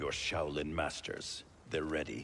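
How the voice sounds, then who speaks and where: Over clear background noise, a man puts on a character voice with a very deep, low pitch and a fairly slow pace. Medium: video game. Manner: stern, distrustful.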